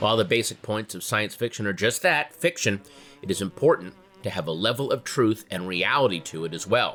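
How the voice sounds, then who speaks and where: Over music in the background, a man with an American accent talks at a fairly quick pace, with a fairly low pitch and lively intonation. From United States. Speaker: comedian, actor, podcast host. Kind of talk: history podcast narration for kids.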